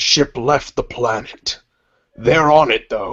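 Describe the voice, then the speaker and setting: A man puts on a raspy character voice, pitched fairly high and delivered at a fairly slow pace. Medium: actual play. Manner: menacing, curt.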